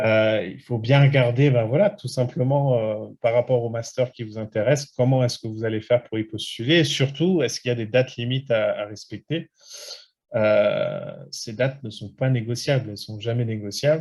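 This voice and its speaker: Speaking with hardly any pauses, a man has a somewhat breathy voice and ordinary pitch variation. His loudness swings widely. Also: medium pitch for a man, moderate pace. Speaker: study abroad consultant. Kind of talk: webinar presentation. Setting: online webinar. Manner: many hesitations.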